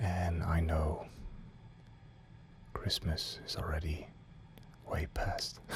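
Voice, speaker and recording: Whispering, a man speaks at a very slow pace in a calm tone. Noticeable background noise runs underneath. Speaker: ASMR creator. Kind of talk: ASMR whisper video for sleep. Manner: whispered, calm, slow.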